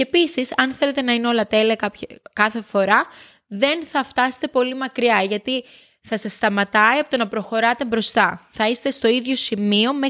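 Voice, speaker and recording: Recorded very cleanly against a silent background, a woman talks at a fairly slow pace with a high pitch and ordinary pitch variation. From Greece, village. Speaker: podcast host. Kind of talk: solo monologue podcast. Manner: halting, many fillers.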